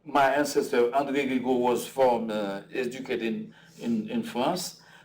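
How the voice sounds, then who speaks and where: Against noticeable background noise and audible room echo, a man at medium pitch speaks with very wide pitch swings. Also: moderate pace. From Haiti. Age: 60s. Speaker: artist. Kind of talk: conversation at a public talk. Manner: halting, many fillers and repetitions.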